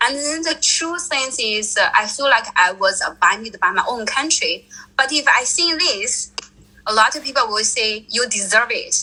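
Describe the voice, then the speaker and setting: Raising and projecting her voice, a woman speaks with a Chinese accent at a high pitch and a moderate pace. Her intonation is lively, and there is noticeable background noise. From China. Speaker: traveler. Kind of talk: interview.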